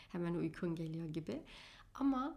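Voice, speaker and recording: A woman with a fairly low voice and a dark, mellow tone, at a moderate pace. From Germany, Turkish family from Afyon. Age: 20s. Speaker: podcast host and astrologer. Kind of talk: solo podcast monologue.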